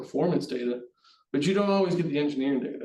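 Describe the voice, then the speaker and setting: Noticeable room echo around a man's voice, with normal pitch movement. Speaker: HVAC test and balance project manager. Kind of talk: webinar presentation. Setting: online webinar. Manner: fast.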